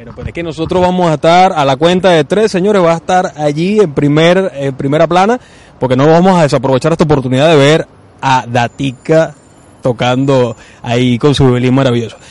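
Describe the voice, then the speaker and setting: Delivered at a fairly quick pace, it is a normal speaking voice with ordinary pitch variation. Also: man, fairly high pitch for a man. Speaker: radio host. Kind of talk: radio show.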